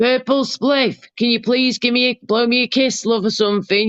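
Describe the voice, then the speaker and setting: A woman with an English accent speaks at a moderate pace with fairly even intonation. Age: 30s. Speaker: live streamer. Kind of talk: casual chat. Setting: live stream with panel.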